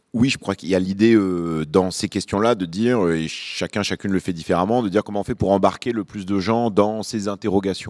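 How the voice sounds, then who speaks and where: A man with a normal speaking voice at fairly low pitch talks at a fairly quick pace with fairly even intonation, in a dry, close sound with no echo on a very clean recording with a silent background. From Lyon, France (born in Beirut). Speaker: journalist and podcast host. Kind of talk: panel discussion. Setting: stage with audience.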